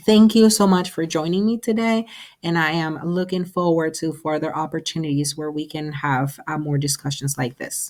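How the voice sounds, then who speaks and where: Ordinary in pitch variation, a woman speaks with a very deep, low pitch. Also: moderate pace. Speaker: counselor presenter. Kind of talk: webinar presentation. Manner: hesitant with frequent fillers.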